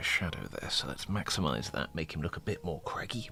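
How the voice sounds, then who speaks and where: A man whispering at a very fast pace, music in the background. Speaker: miniature painter streaming. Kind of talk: live stream painting tutorial. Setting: live stream. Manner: soft-spoken.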